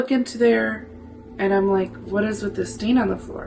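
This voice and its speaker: Music plays in the background as a woman speaks in an animated tone. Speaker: spiritual medium and witch content creator. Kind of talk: casual talk to camera, personal ghost story told to the audience. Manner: expressive, animated, swearing.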